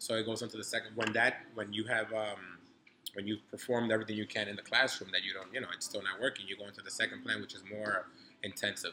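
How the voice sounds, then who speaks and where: A man with a New York accent speaks very fast in a fairly low, flat monotone. His loudness swings widely. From New York City (Harlem), born in Dominican Republic. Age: 30s. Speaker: grad student and entrepreneur. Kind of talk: casual interview. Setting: hotel cigar lounge.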